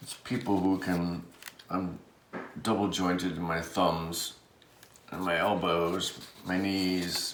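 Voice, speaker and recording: A mumbling man with an American accent and a very deep, low pitch, at a fairly slow pace with fairly even intonation, amid audible room echo and noticeable background noise. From Rhode Island, US. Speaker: card collector and artist. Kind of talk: casual unboxing chat. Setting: indoors under overhead light.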